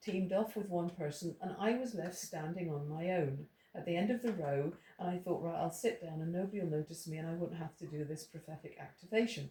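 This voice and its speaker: A very fast Irish accent with hardly any pauses, ordinary pitch variation and noticeable background noise. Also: woman. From Ireland. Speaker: Bible teacher. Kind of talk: testimony. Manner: halting.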